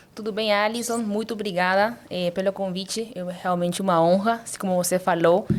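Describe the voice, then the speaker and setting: The speaker has a Paraguayan Spanish accent and fairly even intonation. The pace is moderate. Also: woman. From Paraguay, Asunción. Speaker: surgeon. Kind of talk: interview podcast.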